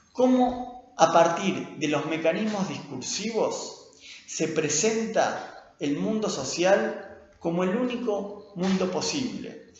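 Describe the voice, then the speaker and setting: A high-pitched man speaks at a very slow pace with lively intonation. Noticeable background noise is present. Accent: Rioplatense. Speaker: linguistics lecturer and researcher. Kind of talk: lecture.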